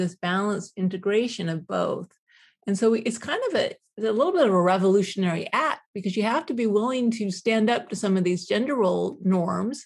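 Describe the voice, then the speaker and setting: With a quiet background, a woman speaks in a normal speaking voice, fairly high in pitch with ordinary pitch variation, at a fairly quick pace. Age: 50s. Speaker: professor and self-compassion researcher. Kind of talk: interview.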